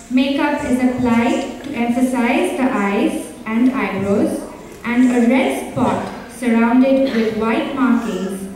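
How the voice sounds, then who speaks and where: A high-pitched woman's voice at a very slow pace, fairly even in intonation and very even in loudness, with strong room echo and light background noise. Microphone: camera far.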